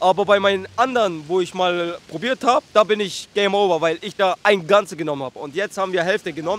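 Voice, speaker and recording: Over noticeable background noise, the speaker goes at a fairly quick pace with ordinary pitch variation, the sound dry and close with no echo. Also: man. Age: 20s. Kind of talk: casual street chat.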